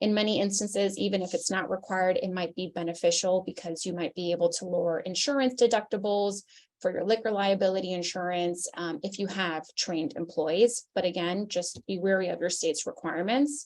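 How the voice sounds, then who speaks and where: Speaking at a fairly quick pace with hardly any pauses, a woman uses a medium pitch and ordinary pitch variation. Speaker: lawyer presenting a seminar. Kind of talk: webinar presentation. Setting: virtual seminar. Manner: fast.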